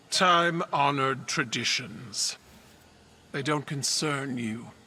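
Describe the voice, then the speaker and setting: Putting on a character voice, a man speaks at a fairly high pitch. His pace is fairly slow, with ordinary pitch variation. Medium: video game. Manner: regal, measured, commanding.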